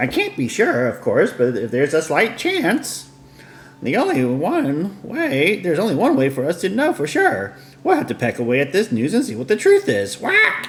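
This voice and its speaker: Over clear background noise, a man does a put-on character voice pitched high. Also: moderate pace. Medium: game stream. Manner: inquisitive.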